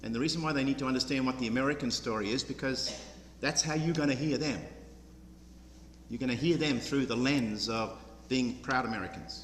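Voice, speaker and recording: With an Australian accent, a man talks at a medium pitch with ordinary pitch variation, and the room echo is audible. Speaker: program director. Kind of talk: public speech. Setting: church with audience.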